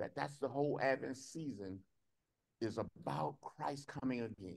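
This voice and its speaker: A man speaks at a moderate pace with vocal fry. The background is quiet. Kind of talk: sermon. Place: hall. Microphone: podium.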